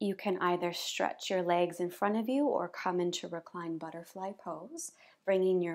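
A woman's pitch varies in an ordinary way, and the background is quiet. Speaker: yoga teacher. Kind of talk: guided yoga instruction. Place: home room.

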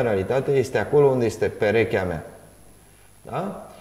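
Here a man talks. The rise and fall of his pitch is ordinary. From Romania. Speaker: talk show host. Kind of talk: interview. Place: studio.

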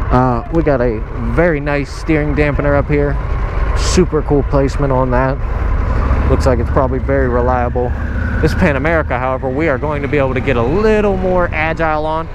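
Speech comes at a fairly quick pace. The sound is dry with no echo, though noticeable background noise is present. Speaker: motorcycle rider reviewing bike. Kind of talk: casual ride commentary. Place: motorbike. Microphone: helmet.

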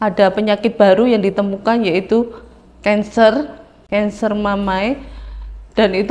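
The woman talks at a fairly slow pace. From Central Java. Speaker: churchgoer giving a testimony. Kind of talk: testimony; personal testimony. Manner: halting. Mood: earnest, calm. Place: studio. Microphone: lapel.

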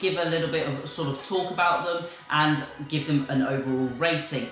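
Over light background noise and audible room echo, a man speaks with ordinary pitch variation. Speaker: fish-keeping channel host. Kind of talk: casual vlog chat. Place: home room.

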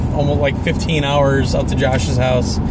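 A man is heard in a dry recording with no echo and loud background noise. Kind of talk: casual vlog chat. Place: car. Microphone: phone near.

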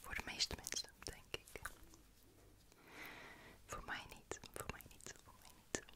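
Whispering at a very slow pace, the voice shows big swings in loudness. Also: woman. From Netherlands. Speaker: ASMR content creator. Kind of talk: ASMR whisper talk to camera. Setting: close-up studio microphone. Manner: whispered, soft, relaxing. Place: home room. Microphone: studio mic.

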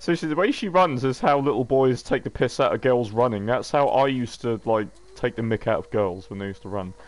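Very fast speech with an English accent carries lively intonation. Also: man, medium pitch for a man. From England. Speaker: gaming YouTuber. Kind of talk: gameplay commentary. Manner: casual, frequent fillers and swearing.

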